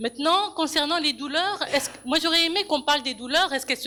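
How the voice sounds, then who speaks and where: A woman's raised, projected voice with a bright, sharp tone and ordinary pitch variation. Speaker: audience member in public debate. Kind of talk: public debate contribution. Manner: halting, many repetitions; passionate.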